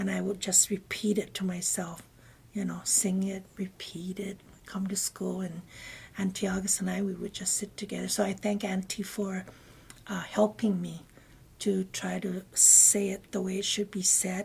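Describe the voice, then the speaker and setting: A woman's voice carries vocal fry and stays flat and monotone. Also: medium pitch for a woman, moderate pace. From Guam. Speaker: interviewee sharing life memories. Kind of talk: oral history interview. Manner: halting.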